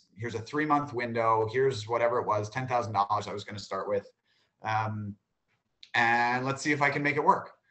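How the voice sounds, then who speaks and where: An American accent marks this man's speech, delivered at a moderate pace with fairly even intonation. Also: quiet background. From New York City. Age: 30s. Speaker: spice company co-founder; guest. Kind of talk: panel talk. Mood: relaxed, conversational. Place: home room. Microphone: video call.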